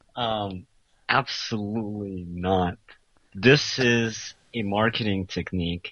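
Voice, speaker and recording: Fairly even intonation at a very slow pace. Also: man, fairly low pitch for a man. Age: 20s. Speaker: self-styled pickup artist. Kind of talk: call-in interview. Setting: Skype call.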